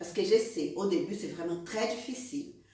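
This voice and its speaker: A woman speaks in a fairly high voice amid noticeable background noise. Audible room echo is present. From Brazil. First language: Portuguese (speaking French). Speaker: beauty trainer, eyebrow specialist. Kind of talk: online course introduction. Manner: animated.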